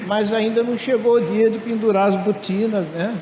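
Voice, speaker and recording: A man talks at a fairly slow pace in a high pitch, with audible room echo and noticeable background noise. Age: 70s. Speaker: retired professor and entrepreneur. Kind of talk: conference talk. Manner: casual, humorous.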